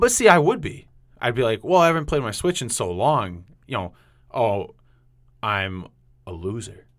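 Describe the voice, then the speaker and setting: Using very wide pitch swings, a man with a medium pitch and a New England accent talks at a moderate pace with long, frequent pauses. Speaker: podcast host. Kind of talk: casual chat.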